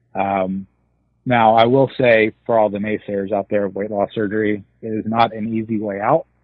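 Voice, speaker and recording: This man's voice is fairly low and moves at a moderate speed. The intonation stays monotone and flat. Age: 30s. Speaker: weight loss surgery patient sharing his story. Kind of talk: casual interview.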